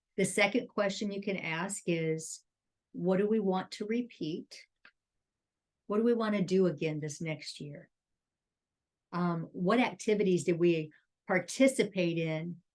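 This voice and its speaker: Speaking at a fairly slow pace with long, frequent pauses, a woman keeps a medium pitch and ordinary pitch variation. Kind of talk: casual chat.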